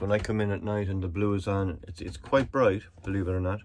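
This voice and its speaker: A man with an Irish accent, fairly low in pitch, at a moderate pace and with fairly even intonation. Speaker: solo sailor vlogger. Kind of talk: casual video diary. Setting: on a boat at anchor. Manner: whispering; rambling, hesitant.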